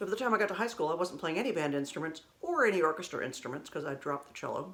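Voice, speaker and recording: A woman talks at a fairly quick pace with a fairly low voice. Her pitch swings very widely. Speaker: vlogger sharing personal memories. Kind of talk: casual storytelling monologue. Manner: conversational, self-correcting.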